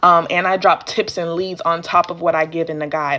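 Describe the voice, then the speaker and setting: Against noticeable background noise, a woman with a fairly low pitch speaks at a moderate pace with fairly even intonation. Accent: American. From Georgia, US. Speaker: small business trainer. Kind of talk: live stream training. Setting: live stream. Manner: casual, chatty.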